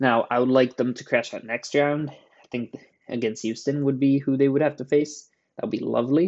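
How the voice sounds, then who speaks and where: A man speaks at a moderate pace with an unremarkable speaking voice. His pitch is fairly high, and his loudness swings widely. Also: fairly even intonation. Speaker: sports card collector podcaster. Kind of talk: casual solo podcast about March Madness brackets. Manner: casual, chatty, many fillers.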